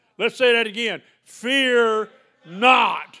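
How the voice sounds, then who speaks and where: A man in a Southern US accent, with an extremely high pitch. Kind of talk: sermon. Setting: church. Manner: animated.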